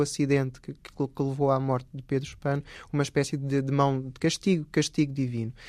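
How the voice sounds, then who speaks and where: A man's rather high voice stays monotone and flat throughout. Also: quiet background. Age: 40s. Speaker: historian. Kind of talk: interview. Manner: halting.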